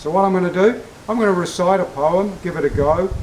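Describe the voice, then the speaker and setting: With an Australian accent, a man speaks at a high pitch and ordinary pitch variation. Noticeable background noise comes through. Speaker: military history presenter. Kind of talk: casual talk to camera.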